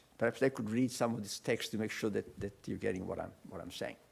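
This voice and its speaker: A man with an Italian accent. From Italy. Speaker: professor. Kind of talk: lecture.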